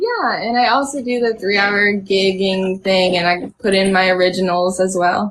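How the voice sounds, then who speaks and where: A woman with an American accent speaks in a normal speaking voice at medium pitch, with very even loudness, fairly even intonation and a moderate pace. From US South, North Carolina (Charlotte). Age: 20s. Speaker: singer-songwriter. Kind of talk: casual interview. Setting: video call live stream from home.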